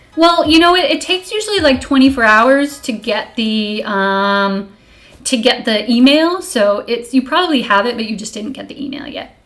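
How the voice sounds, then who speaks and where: An animated voice moves through very wide pitch swings and big swings in loudness. The recording carries audible room echo and noticeable background noise. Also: woman, high pitch for a woman, moderate pace. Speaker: streamer and college professor. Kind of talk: casual live stream lecture. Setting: live stream.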